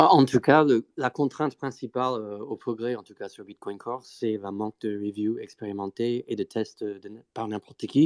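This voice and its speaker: The speaker has a non-native accent and a moderate pace. The sound is dry and close, with no echo. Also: man, medium pitch for a man, ordinary pitch variation, hardly any pauses. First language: not French (speaking French). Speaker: Bitcoin Core developer. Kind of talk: technical discussion on live stream. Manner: halting, many fillers.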